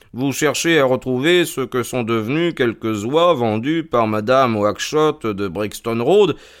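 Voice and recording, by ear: The intonation is lively as the text is read aloud in a natural voice.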